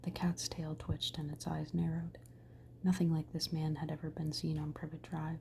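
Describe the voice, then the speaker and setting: The voice is soft-spoken and whispering. It moves at a moderate pace. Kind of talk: ASMR bedtime story reading. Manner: whispered, soft-spoken.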